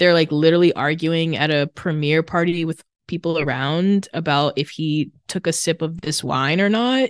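With an American accent and a normal speaking voice, a woman talks at a moderate pace and a fairly low pitch with ordinary pitch variation, in a dry, close sound with no echo and a quiet background. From Massachusetts. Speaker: former podcaster, women's circle organizer. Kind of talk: casual chat.

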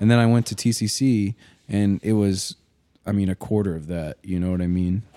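Delivered at a fairly quick pace with an American accent, the voice has a dark, mellow tone and a dry, close sound with no echo. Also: man, fairly low pitch for a man, fairly even intonation. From Arkansas. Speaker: podcast host. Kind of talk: casual chat.

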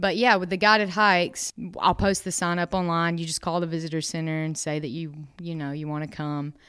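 Fairly low in pitch, a woman with a Southern US accent talks at a fairly quick pace with fairly even intonation on a very clean recording with a silent background. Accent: Southern US (Georgia). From North Georgia, US (Dahlonega). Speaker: park naturalist. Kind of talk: interview. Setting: on location at a state park.

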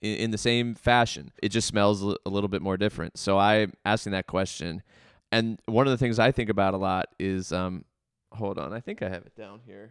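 A man with an American accent speaks at a moderate pace and a fairly low pitch in a plain, everyday voice, in a very clean recording with a silent background and a dry, close sound with no echo. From Baltimore County, Maryland. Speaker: arts nonprofit director and musician. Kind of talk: interview conversation.

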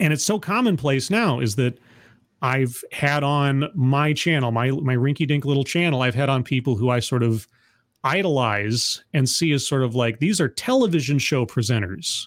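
A man's fairly high-pitched, normal speaking voice at a moderate pace and very even loudness, on a very clean recording with a silent background. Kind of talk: casual chat.

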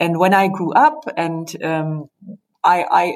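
A woman speaks with a German accent at a fairly slow pace. Her voice sits fairly low in pitch. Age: 50s. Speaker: company managing director. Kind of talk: interview. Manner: halting.

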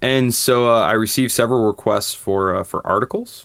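A man with an American accent and an unremarkable speaking voice talks at a fairly quick pace. His pitch shows ordinary variation. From Michigan. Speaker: economist and history professor. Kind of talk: interview. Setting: remote call.

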